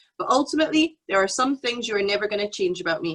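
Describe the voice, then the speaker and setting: This woman has a bright, sharp tone and a fairly high pitch. She talks at a very fast pace. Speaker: business founder on furlough from day job. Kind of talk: panel discussion.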